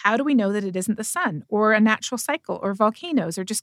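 In a Canadian accent, a normal speaking voice talks at a fairly quick pace with lively intonation, the dry, close sound having no echo on a very clean recording with a silent background. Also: woman. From Canada. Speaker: atmospheric scientist and professor. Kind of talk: interview.

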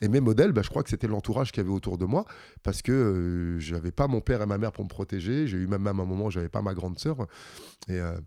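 A man speaks very fast in a dark, mellow tone, his fairly low pitch moving with ordinary variation, on a very clean recording with a silent background. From France, Metz area (Lorraine). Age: 50s. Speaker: combat sports fighter. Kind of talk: interview.

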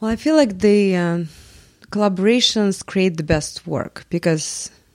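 A woman at a moderate pace, in a Russian accent. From Russia, Moscow. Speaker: multimedia artist. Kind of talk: interview. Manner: hesitant, many fillers.

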